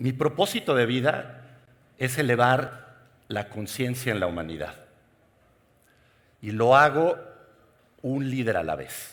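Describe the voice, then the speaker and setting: Very slow speech from a man at medium pitch, with long, frequent pauses, lively intonation and audible room echo. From Mexico. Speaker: keynote speaker, executive coach. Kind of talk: conference keynote talk. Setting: stage with audience.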